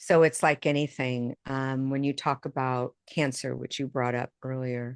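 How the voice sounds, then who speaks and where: In a dry, close sound with no echo and a quiet background, a woman with an American accent speaks at a fairly slow pace, her very deep, low pitch held in a flat monotone. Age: 60s. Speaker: intuitive medium and author. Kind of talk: interview conversation.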